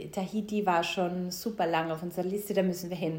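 A woman's medium-pitched voice in a Styrian accent, with fairly even intonation and audible room echo. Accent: Austrian German (Styrian). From Austria, Styria, rural. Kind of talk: casual interview.

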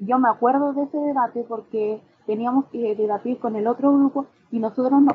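A woman speaks in a Chilean accent at a high pitch. Her pace is moderate and her intonation fairly even. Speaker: podcast co-host, law student. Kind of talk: casual chat.

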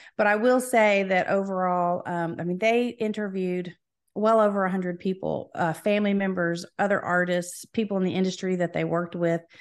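A woman with an American accent talks at a fairly quick pace in a normal speaking voice, her medium pitch and fairly even intonation set against a quiet background. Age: 50s. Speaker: musician. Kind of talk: interview. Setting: video call.

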